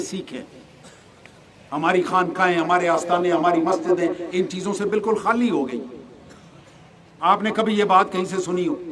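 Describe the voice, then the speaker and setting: The speech has ordinary pitch variation. Audible room echo and noticeable background noise are present. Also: man. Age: 60s. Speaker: retired army officer and religious speaker. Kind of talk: religious lecture.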